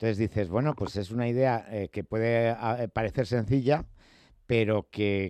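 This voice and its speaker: A man's normal speaking voice, fairly low in pitch with ordinary pitch variation, at a moderate pace, with a dry, close sound without echo and a quiet background. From Spain. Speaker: radio host. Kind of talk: radio interview.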